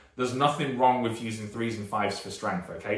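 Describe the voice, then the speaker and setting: A man speaks at a fairly quick pace with a British accent. Noticeable background noise and audible room echo are present. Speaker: strength and conditioning coach. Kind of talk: YouTube talk to camera. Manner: casual, rambling with fillers.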